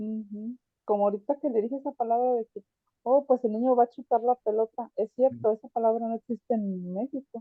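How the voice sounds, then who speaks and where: A woman speaks at a fairly quick pace in a plain, everyday voice. Her pitch is fairly high and her intonation fairly even. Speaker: adult student. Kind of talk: casual chat.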